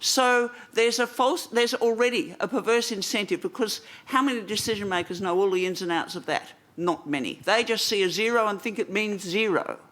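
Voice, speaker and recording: With an Australian accent, a woman talks at a fairly quick pace and a fairly high pitch, her intonation lively. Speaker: environmental policy coordinator and press conference moderator. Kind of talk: press conference answer. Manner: hesitant with fillers.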